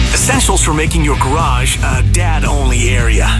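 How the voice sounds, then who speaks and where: Fairly slow speech over loud music in the background. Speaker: radio station imaging voice. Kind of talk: radio station ID / imaging promo read. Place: studio.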